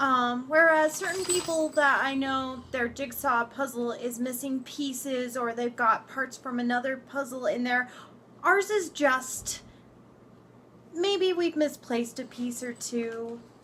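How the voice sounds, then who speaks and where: A woman projects a raised voice at a high pitch. She talks at a fairly slow pace, with ordinary pitch variation. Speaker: vlogger. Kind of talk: casual chat.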